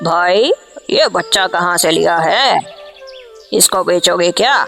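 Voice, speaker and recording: Over clear background music, a man puts on a cartoonish character voice, high-pitched and fairly slow. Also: very even loudness. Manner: confident, calculating.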